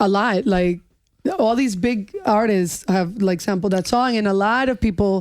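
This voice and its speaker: A woman with an American accent and an unremarkable speaking voice speaks at a moderate pace and medium pitch, with ordinary pitch variation and very even loudness. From Long Island, New York. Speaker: music executive. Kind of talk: casual chat.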